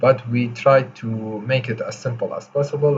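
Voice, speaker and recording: A man talks with a non-native accent. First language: not English. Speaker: coding tutorial creator. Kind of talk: tutorial. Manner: slow, deliberate; hesitant, many fillers.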